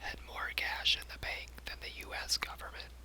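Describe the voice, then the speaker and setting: Soft-spoken whispering comes at a fairly slow pace over noticeable background noise. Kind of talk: whispered ASMR fact reading. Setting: binaural microphone recording for sleep. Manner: whispered, relaxing, soft.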